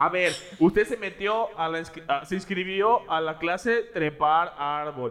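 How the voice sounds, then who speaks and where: A man with a Mexican accent speaks at a high pitch. His pace is fairly slow, with ordinary pitch variation. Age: 20s. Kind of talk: casual chat.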